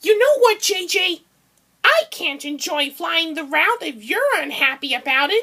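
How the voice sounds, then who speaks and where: A woman uses a put-on character voice at an extremely high pitch, with very wide pitch swings and a moderate pace. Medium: read story.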